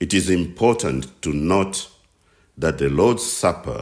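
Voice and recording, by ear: Speaking at a fairly slow pace, a man has a slightly mellow tone.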